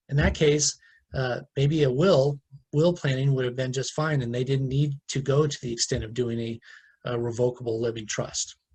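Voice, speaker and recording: Somewhat breathy, the voice keeps a fairly even intonation. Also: man, medium pitch for a man. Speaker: estate planning attorney. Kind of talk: webinar Q&A. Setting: online webinar. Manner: fast; hesitant, many fillers.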